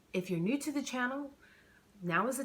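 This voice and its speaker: Here a woman speaks. Her intonation is lively. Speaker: author reading her own novel. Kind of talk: casual chat to camera. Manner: halting, self-correcting.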